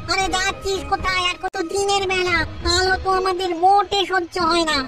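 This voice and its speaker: Over clear music in the background, a cartoonish character voice at an extremely high pitch moves at a moderate pace. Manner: whiny, pleading.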